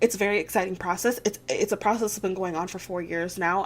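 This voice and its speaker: Against music in the background, a woman with a medium pitch speaks with ordinary pitch variation. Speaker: YouTuber, vet student. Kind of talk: casual vlog update. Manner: fast; hesitant, many fillers.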